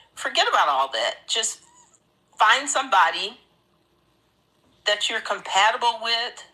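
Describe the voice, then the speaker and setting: A woman speaks at a moderate pace in a fairly high pitch, her pitch swinging very widely. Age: 60s. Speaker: participant sharing relationship story. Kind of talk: testimony. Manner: halting.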